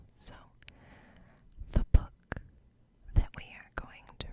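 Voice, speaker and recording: The voice is a whisper. Noticeable noise sits in the background. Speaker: ASMR creator. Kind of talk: bedtime story reading. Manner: soft-spoken.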